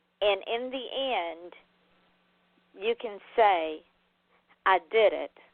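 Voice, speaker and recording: A woman with a Southern accent speaks at a very slow pace, her pitch varying in an ordinary way. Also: long, frequent pauses, big swings in loudness. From US Deep South (Georgia). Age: 60s. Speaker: author and radio host. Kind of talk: interview talk show. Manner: animated.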